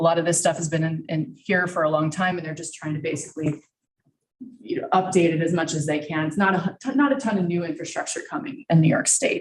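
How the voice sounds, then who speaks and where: A woman's fairly low voice at a very fast pace, with music in the background. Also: ordinary pitch variation. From Texas. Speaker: energy company presenter. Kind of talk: presentation to a county committee. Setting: public meeting room at a podium, streamed live.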